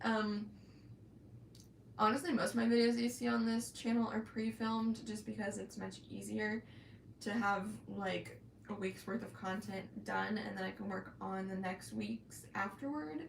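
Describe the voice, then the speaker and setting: A woman with an American accent talks at a moderate pace against noticeable background noise. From Florida, US South. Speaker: crochet YouTuber. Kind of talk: live stream chat. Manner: hesitant, many ums and pauses; stutters at times.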